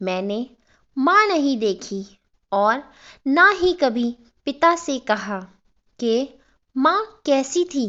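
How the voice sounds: Her high voice bright and sharp, a woman talks very slowly with big pitch swings.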